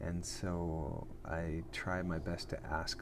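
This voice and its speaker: Audible room echo around a man's very deep, low voice. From Canada. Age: 40s. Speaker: actor and podcast host. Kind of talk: casual live chat. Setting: airport lounge. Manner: casual, with frequent fillers and restarts.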